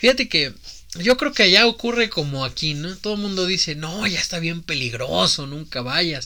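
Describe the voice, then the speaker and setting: With a Mexican accent, a man speaks in an animated, bright, sharp tone, high in pitch with very wide pitch swings, at a moderate pace. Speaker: podcast host. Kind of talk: casual chat.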